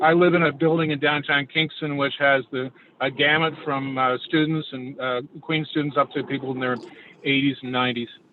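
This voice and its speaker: A man's fairly quick, fairly high-pitched, monotone and flat delivery, with noticeable background noise. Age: 60s. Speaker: planning applicant. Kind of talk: public meeting testimony. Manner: halting.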